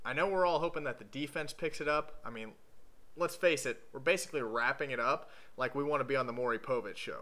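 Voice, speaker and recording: Talking at a very fast pace, a man uses a fairly high pitch with ordinary variation. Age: 20s. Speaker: sports video blogger, Ohio State fan. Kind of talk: scripted commentary monologue. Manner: sarcastic, joking. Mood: joking, sarcastic. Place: home room. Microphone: webcam.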